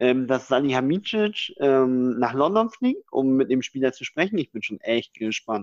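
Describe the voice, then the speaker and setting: A man with an unremarkable speaking voice talks at medium pitch with lively intonation. There are hardly any pauses, and the sound is dry and close with no echo. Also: fairly slow pace. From northeastern Germany. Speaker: podcast co-host. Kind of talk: casual chat.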